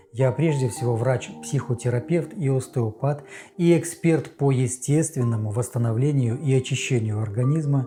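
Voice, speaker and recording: Over music in the background, a man of medium pitch speaks at a moderate pace in a calm tone, with ordinary pitch variation and very even loudness. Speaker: psychotherapist and health channel host. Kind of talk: health talk to camera. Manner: soothing, relaxing.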